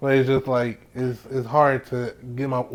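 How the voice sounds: A man talks at a moderate pace and medium pitch. His pitch moves only a little.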